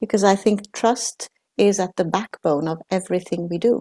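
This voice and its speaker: Speaking at a fairly slow pace with lively intonation, a woman uses medium pitch, vocal fry and a dark, mellow tone, captured with a dry, close sound with no echo. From Sweden, Italian parents. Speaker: knowledge management specialist. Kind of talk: interview conversation.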